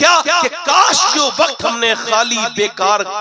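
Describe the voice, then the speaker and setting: A raised, projected voice with very wide pitch swings. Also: man. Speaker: Islamic preacher. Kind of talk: religious sermon to a live gathering. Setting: outdoor religious gathering. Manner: emotional, moving.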